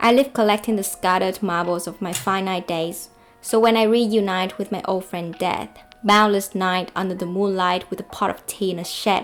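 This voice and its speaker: With a non-native accent, a woman speaks at a medium pitch with fairly even intonation. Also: moderate pace. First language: not English. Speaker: book video creator. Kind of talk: book review monologue; reading own poem aloud.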